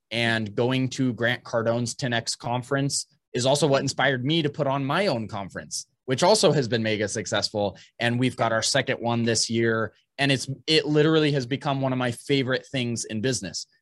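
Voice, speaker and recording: A medium-pitched male voice with ordinary pitch variation over a quiet background. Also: fairly quick pace. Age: 30s. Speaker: construction technology entrepreneur. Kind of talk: interview. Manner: halting.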